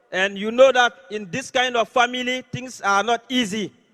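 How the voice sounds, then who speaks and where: In an Ivorian accent, a man talks at an extremely high pitch and fairly slow pace, with a bright, sharp tone, fairly even intonation and a dry, close sound with no echo. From Côte d'Ivoire. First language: French. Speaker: network marketing leader. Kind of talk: motivational speech.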